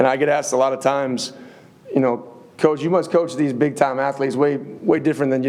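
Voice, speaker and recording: At a fairly quick pace, a man speaks with a slight Upper Midwest accent and fairly even intonation at a medium pitch, with audible room echo. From US Midwest, Upper Peninsula of Michigan. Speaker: college football head coach. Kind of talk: press conference.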